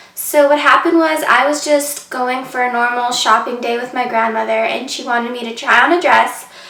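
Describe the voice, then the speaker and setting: A woman's high voice carries fairly even intonation over noticeable background noise. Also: hardly any pauses. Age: 20s. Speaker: vlogger. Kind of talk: personal story vlog. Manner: casual, many fillers.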